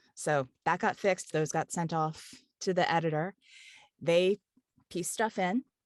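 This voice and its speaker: With an American accent, a woman of fairly low pitch speaks at a fairly slow pace with ordinary pitch variation and long, frequent pauses. The sound is dry and close with no echo, over a quiet background. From Kentucky. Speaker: audiobook narrator and voice actor. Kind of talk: interview. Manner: easygoing, chatty flow.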